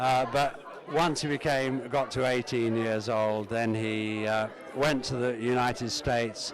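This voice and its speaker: A man at a fairly slow pace with fairly even intonation, amid noticeable background noise. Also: medium pitch for a man. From England, Uxbridge (west London). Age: 70s. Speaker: family member. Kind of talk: reminiscence. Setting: family reunion gathering. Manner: halting, many fillers.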